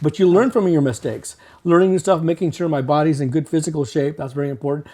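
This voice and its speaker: A fairly high-pitched man with a dark, mellow tone, very fast pace and ordinary pitch variation. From Mexico. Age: 60s. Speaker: artist and art teacher. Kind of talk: interview. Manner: halting.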